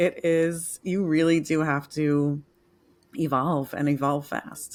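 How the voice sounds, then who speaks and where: With an American accent, the speaker talks at a very slow pace in a monotone, flat intonation. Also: woman, very deep, low pitch for a woman. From New York. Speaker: author and transformation coach. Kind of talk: interview.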